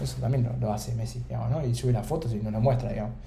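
Recorded with audible room echo and noticeable background noise, a man talks at a very fast pace. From Argentina, Buenos Aires. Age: 20s. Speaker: startup founder. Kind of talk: interview conversation.

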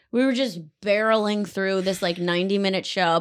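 On a very clean recording with a silent background, a woman with an American accent talks at a fairly quick pace in a bright, sharp tone. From Connecticut. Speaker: comedian. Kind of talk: casual chat.

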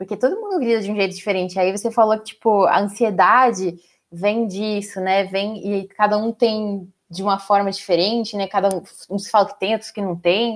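A woman speaks in an unremarkable speaking voice, keeping to a moderate pace. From São Paulo, Brazil. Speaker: HR director, podcast host. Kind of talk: casual chat.

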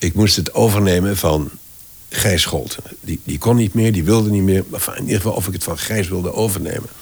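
Against noticeable background noise, a man talks at a fairly quick pace in a very deep, low pitch with ordinary pitch variation. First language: French (speaking Dutch). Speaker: voice actor and voice director. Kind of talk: interview conversation. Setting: at his home.

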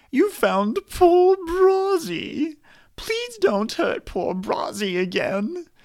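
Whiny, put-on character voice at an extremely high pitch and a very slow pace. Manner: pleading, fearful, third person speech.

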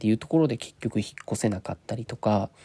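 Here a man goes at a very fast pace in a dark, mellow tone of medium pitch, with ordinary pitch variation and dry, close sound with no echo. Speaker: podcast host, unemployed former nurse. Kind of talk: solo casual talk. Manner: halting, stumbling over words; fast in places.

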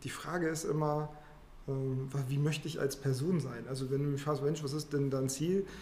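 Somewhat breathy and dark, mellow in tone, a man with a fairly high pitch talks at a moderate pace in a monotone, flat intonation with audible room echo. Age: middle-aged. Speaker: finance professional. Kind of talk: interview conversation.

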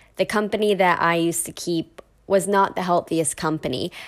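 A woman with an ordinary speaking voice talks at a fairly low pitch with fairly even intonation. The recording is very clean, with a silent background. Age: 20s. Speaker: podcast host. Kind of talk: solo monologue.

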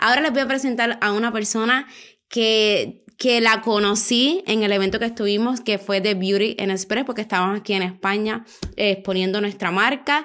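A woman with an animated tone and fairly high pitch speaks at a moderate pace with very even loudness. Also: very clean recording, silent background. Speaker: podcast host, eyelash extension educator. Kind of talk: casual chat. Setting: recording together at a meal in Spain.

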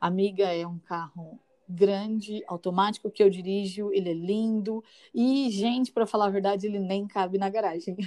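In a calm tone, a woman speaks with a dark, mellow sound and fairly even intonation. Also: medium pitch for a woman, moderate pace. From São Paulo, East Zone. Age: 30s. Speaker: schoolteacher. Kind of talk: casual chat with faith encouragement. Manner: soft-spoken.

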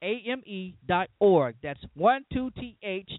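In a Southern US accent, a man speaks with lively intonation. His tone is upbeat. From Louisiana, US South. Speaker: pastor and radio host. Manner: earnest, preacherly, emphatic; reads event ad in a bright, promotional tone, upbeat announcer pitch.

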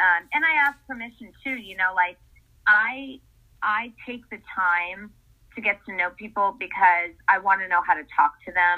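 Speaking in a plain, everyday voice with an American accent, a woman goes at a fairly slow pace, her intonation lively and her loudness swinging widely. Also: medium pitch for a woman. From US Northeast, Essex, Connecticut. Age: 50s. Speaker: wellness coach. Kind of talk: casual interview.

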